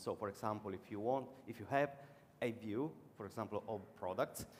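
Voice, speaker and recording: Over noticeable background noise, a man with an Italian accent speaks at medium pitch and a moderate pace, with ordinary pitch variation. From Italy. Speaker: conference speaker, web developer. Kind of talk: conference talk and Q&A. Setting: conference stage with audience.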